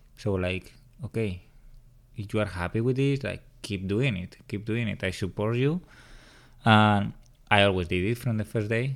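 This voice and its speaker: A man with a strong Spanish accent speaks at a fairly low pitch. He takes long, frequent pauses. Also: ordinary pitch variation, moderate pace. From Spain (Madrid). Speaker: host's partner. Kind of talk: casual chat. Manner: shy.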